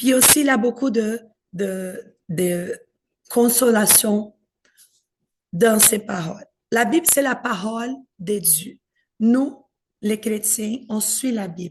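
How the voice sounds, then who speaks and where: A woman with a Brazilian accent speaks very slowly in a fairly high, somewhat breathy voice. Her pitch varies in an ordinary way, and she takes long, frequent pauses. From Brazil, São Paulo. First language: Portuguese (speaking French). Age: 40s. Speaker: pastor in training. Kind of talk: talk to an audience.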